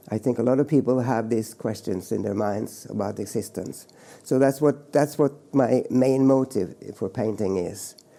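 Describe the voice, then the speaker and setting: Speaking at a moderate pace in a medium pitch, a man with a Norwegian accent has a dark, mellow tone and ordinary pitch variation. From Norway, rural mountain farm. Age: 70s. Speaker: painter. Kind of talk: interview monologue. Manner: halting, many repetitions and fillers.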